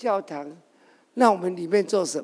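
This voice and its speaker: This man has a high pitch, ordinary pitch variation, and a fairly slow pace. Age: 60s. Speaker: parliamentary candidate and former company chairman. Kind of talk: testimony.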